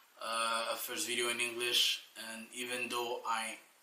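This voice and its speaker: The pace of this man's speech is fairly slow. Room echo is audible. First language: French. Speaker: life coach. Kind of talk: motivational talk. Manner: casual, with fillers.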